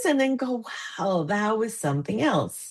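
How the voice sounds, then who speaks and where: Speaking at a moderate pace, a woman uses an animated tone in a Spanish accent. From Argentina. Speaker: international fundraising consultant. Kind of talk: casual chat.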